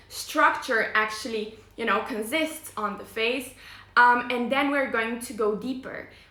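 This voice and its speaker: A woman with a non-native accent, fairly high in pitch and fairly even in intonation, amid noticeable background noise and audible room echo. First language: not English. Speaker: face yoga teacher. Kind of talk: live stream presentation. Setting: live online video stream. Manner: hesitant, many fillers.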